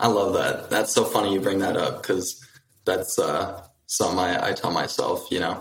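A man at a moderate pace, with audible room echo. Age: 20s. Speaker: real estate agent. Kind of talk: live coaching call.

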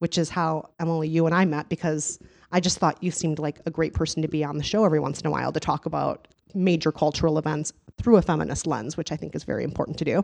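A woman speaks at a very fast pace with a fairly low pitch. The background is quiet. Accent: Midwestern US. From US Midwest. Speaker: podcast host and author. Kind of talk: casual interview chat. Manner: animated, enthusiastic.

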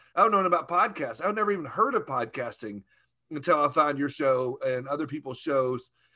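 In a very clean recording with a silent background, a man with a Southern US accent talks at a fairly quick pace, his bright, sharp tone set at a fairly high pitch with lively intonation. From US South, Arkansas. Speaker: podcaster, insurance industry figure. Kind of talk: casual interview chat.

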